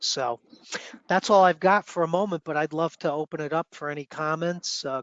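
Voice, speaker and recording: Speaking at a moderate pace, a man with a New York accent has a fairly high pitch. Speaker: student chapter mentor. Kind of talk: online meeting discussion.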